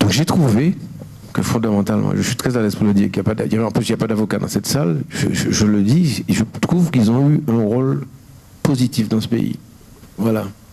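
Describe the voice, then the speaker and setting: A man talks at a fairly quick pace and medium pitch with lively intonation and very even loudness. There is noticeable background noise. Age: 60s. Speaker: painter. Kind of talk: interview. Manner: halting.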